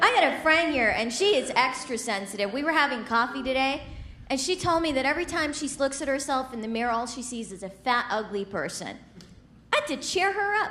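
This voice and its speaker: A woman speaks in a raised, projected voice at a high pitch and a fairly quick pace, her pitch swinging very widely. Noticeable background noise runs underneath. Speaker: stand-up comedian. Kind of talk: stand-up comedy set.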